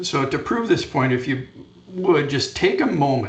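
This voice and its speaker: With a Canadian accent, a man with a fairly high pitch sounds somewhat breathy, and audible room echo surrounds him. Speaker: fall protection safety trainer. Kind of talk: conference presentation. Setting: conference session.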